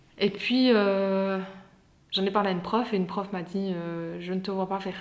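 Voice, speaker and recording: Audible room echo carries a woman's voice as she speaks at a fairly slow pace in a medium pitch with monotone, flat intonation. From Belgium, Liège area (Herstal). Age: 20s. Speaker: anthropology graduate. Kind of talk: podcast interview. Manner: hesitant, many fillers.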